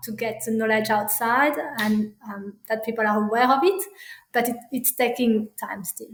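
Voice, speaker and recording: Fairly high in pitch, a woman speaks with a French accent and fairly even intonation. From France. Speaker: parenting coach. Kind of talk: interview. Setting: podcast recording. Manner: halting, many fillers.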